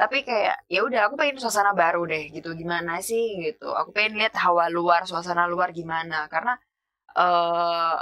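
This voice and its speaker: A woman's fairly low, bright, sharp voice with a strong Javanese accent, ordinary pitch variation and a fairly quick pace. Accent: thick Javanese (medok). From East Java, Pasuruan. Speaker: podcast guest. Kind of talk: casual chat.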